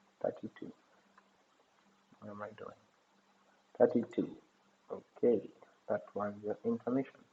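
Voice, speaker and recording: At a moderate pace, a man speaks with big swings in loudness and long, frequent pauses. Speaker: math teacher. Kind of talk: tutorial. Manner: hesitant, many fillers.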